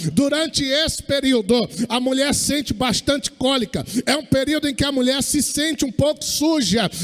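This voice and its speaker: A man speaks at a moderate pace with an extremely high pitch. Music plays in the background. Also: ordinary pitch variation. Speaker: pastor. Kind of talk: sermon.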